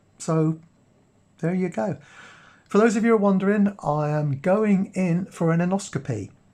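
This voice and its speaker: A man's dark, mellow voice at a moderate pace. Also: quiet background. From Cornwall, England. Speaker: watch and vlog youtuber. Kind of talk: casual vlog talk to camera.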